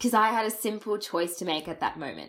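A woman's fairly high voice with lively intonation and an Australian accent. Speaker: podcast host. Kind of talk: scripted storytelling intro.

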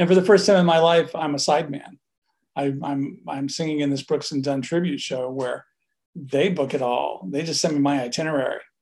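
Fairly high in pitch with ordinary pitch variation, a man with an American accent and an ordinary speaking voice talks at a moderate pace. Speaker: music producer and studio owner. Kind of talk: interview.

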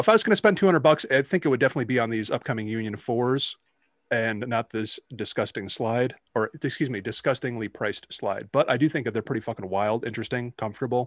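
Here, a man uses an ordinary speaking voice at medium pitch with ordinary pitch variation and a fairly quick pace. The recording is very clean, with a silent background. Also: dry, close sound with no echo. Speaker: podcast co-host. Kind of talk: casual banter, sneaker talk. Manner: casual, joking.

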